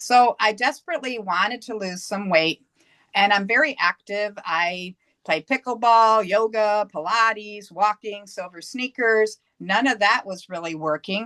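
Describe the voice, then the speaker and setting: A woman with an American accent speaks at a medium pitch and a fairly slow pace, her bright, sharp tone showing ordinary pitch variation in a dry, close sound with no echo. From US Northeast. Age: 60s. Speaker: yoga instructor. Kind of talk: interview testimony.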